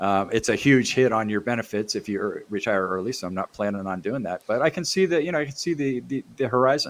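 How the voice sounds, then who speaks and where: A fairly quick pace and medium pitch from a man with a plain, everyday voice. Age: 60s. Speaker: CAD user group organizer. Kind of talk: casual chat.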